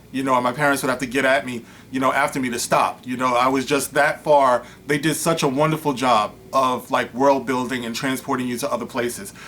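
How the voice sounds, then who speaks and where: A man's medium-pitched, monotone, flat delivery at a fairly quick pace, with noticeable background noise. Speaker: online commentator. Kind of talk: commentary reading a news article aloud. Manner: fast; casual, filler-heavy.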